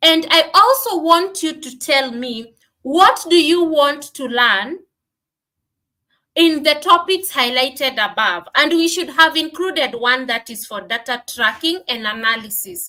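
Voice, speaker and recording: A woman with a Kenyan accent, high-pitched in a bright, sharp tone, her raised, projected voice moving fairly slowly with lively intonation and big swings in loudness. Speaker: business coach. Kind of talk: live stream teaching. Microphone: no microphone at first.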